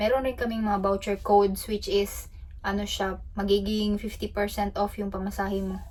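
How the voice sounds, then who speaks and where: Background noise is noticeable here. The talking goes at a moderate pace. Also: woman. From Philippines. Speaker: travel vlogger. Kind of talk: casual vlog talk. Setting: ship cabin. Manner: loud.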